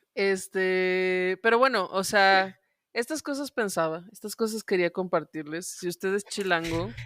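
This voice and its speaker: In a very clean recording with a silent background and a dry, close sound with no echo, a woman with a Guanajuato accent speaks at a fairly slow pace with ordinary pitch variation. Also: medium pitch for a woman. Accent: Mexican regional accent from León, noticeable. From Mexico, León, Guanajuato. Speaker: podcast co-host. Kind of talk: casual chat.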